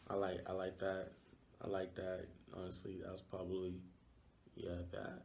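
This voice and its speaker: With audible room echo, a man with a Yoruba accent and a very deep, low pitch speaks at a moderate pace in monotone, flat intonation, with long, frequent pauses. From Nigeria, Lagos. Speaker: university student. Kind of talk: interview. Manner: hesitant, many fillers.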